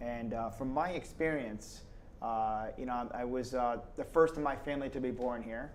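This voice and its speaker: Audible room echo follows a man with an American accent as he talks at a moderate pace. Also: medium pitch for a man, fairly even intonation. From Schenectady, New York, US. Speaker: state politician. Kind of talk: casual interview.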